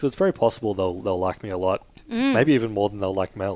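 With an Australian accent, a man talks at a very fast pace in a fairly low pitch that shows ordinary variation. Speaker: podcast guest.

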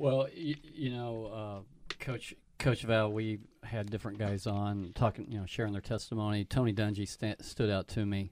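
A man's fairly low voice with an Oklahoma accent. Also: ordinary pitch variation, moderate pace. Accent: Oklahoma twang. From Tulsa, Oklahoma. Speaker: pastor, co-host. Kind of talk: radio interview.

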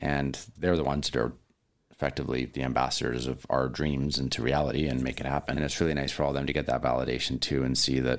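In a Canadian accent, a man with a very deep, low pitch and vocal fry speaks very fast in a flat monotone. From British Columbia, Canada. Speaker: chef and restaurant owner. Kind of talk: interview.

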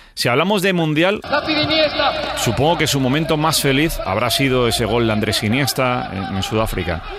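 A man's medium-pitched voice proceeds at a moderate speed, with noticeable noise in the background. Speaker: radio host. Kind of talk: interview; scripted narration.

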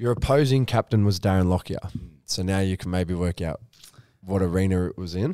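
In an Australian accent, a man speaks at a fairly quick pace with a very deep, low pitch and a dark, mellow tone. The sound is dry and close, with no echo. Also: ordinary pitch variation. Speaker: podcast host. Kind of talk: casual interview.

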